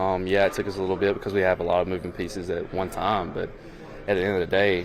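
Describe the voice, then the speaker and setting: With a Southern accent, a man speaks very fast in a very deep, low pitch. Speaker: pro football player. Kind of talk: press conference answers. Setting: press conference. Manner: halting, many fillers.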